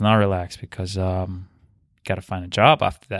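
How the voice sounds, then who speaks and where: A man at a very fast pace, in a dry, close sound with no echo. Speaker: podcast guest. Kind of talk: casual chat. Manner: monotone.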